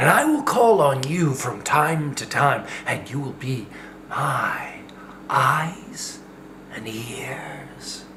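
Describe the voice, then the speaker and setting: A raspy, put-on character voice sits at a low-to-middle pitch and moves at a very slow pace. Light background noise can be heard. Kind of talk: board game host script read. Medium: role play. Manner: commanding, menacing.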